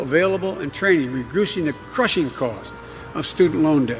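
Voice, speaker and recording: Over music in the background, a man mumbles at a fairly quick pace. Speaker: politician. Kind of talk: political speech. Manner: mumbling, halting.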